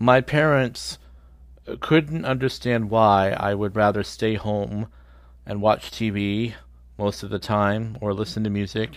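On a very clean recording with a silent background, a man with a normal speaking voice talks at a fairly slow pace, his fairly low pitch showing ordinary variation. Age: 50s. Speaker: podcast host. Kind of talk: scripted monologue.

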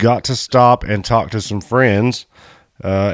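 A man with a Kentucky accent, moderate pace and fairly even intonation. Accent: Southern US (Kentucky). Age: 30s. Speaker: off-road podcast host. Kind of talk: casual chat. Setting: studio.

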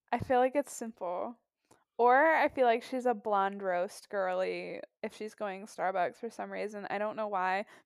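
The recording is very clean with a silent background. A woman speaks in an ordinary speaking voice at medium pitch and a moderate pace. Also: ordinary pitch variation. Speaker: guest co-host. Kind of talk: casual chat.

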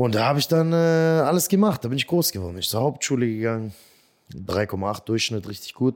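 At a moderate pace, a man speaks at medium pitch with lively intonation, on a very clean recording with a silent background. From Swabia, Germany. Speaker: comedian. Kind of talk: interview. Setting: studio.

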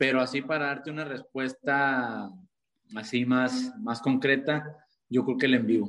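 A man with a northern Mexican accent speaks at a very slow pace. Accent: northern Mexican (Sonoran) Spanish. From Mexico, Sonora (Caborca). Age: 20s. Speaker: singer-songwriter. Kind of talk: interview.

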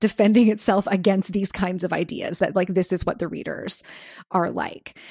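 In a very clean recording with a silent background, a woman with an unremarkable speaking voice talks at a medium pitch with fairly even intonation. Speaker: books podcast host. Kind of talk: casual chat. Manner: laughs often.

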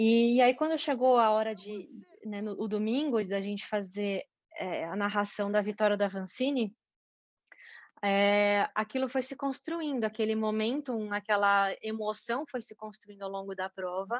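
Heard dry and close with no echo, a woman with a normal speaking voice talks at a fairly slow pace, using a fairly high pitch with ordinary pitch variation. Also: quiet background. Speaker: mountain bike athlete and sports commentator. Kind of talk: interview.

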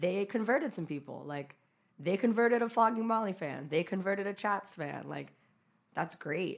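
In an American accent, a woman with a plain, everyday voice speaks at a moderate pace with lively intonation. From US West (California, Utah). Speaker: photographer and musician. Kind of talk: casual interview chat. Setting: studio.

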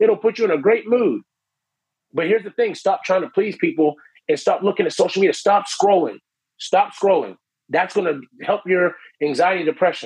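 Animated in tone, a man speaks at a fairly quick pace with lively intonation. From Ohio, Canton. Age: 40s. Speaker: motivational speaker and percussion entertainer. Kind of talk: casual interview.

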